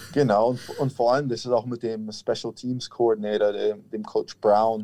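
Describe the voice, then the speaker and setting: The man's voice has a dark, mellow tone. His intonation is monotone and flat. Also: quiet background. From Franconia, Germany (near Nuremberg). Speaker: American football kicker. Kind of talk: interview.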